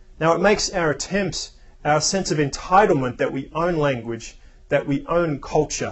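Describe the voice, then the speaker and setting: A man with a high-pitched voice speaks at a moderate pace. His intonation is lively. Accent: Australian. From Australia. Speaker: spiritual speaker. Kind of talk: reflective talk.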